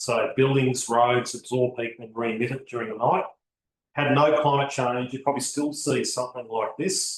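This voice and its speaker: A man's somewhat breathy, medium-pitched voice at a moderate pace with fairly even intonation. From Australia. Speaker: botanic garden consultant. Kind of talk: seminar lecture. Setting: seminar room with audience and online stream.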